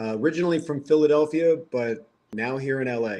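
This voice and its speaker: With a slight Delco accent, a man talks at a fairly quick pace with ordinary pitch variation. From Lansdowne, Delaware County, Pennsylvania. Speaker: vegan activist, military veteran, medic. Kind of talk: casual chat.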